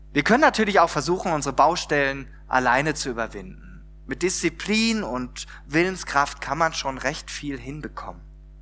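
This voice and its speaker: A man talks at a moderate pace with lively intonation. His voice is fairly high in pitch, with a bright, sharp tone. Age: 40s. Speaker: pastor. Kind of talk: sermon. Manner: conversational, many filler words.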